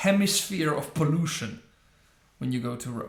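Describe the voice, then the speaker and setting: Audible room echo surrounds a man who talks at a fairly slow pace with lively intonation and a somewhat breathy sound. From northern Italy, Trieste. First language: Italian. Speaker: YouTube commentator. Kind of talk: reaction video commentary. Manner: halting, many fillers.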